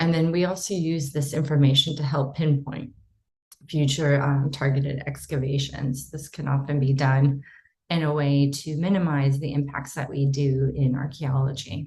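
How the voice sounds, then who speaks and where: A woman with an American accent has a very deep, low pitch and a dark, mellow tone. Her somewhat breathy voice stays monotone and flat. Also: moderate pace. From United States. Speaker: archaeologist. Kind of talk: conference presentation. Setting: online symposium.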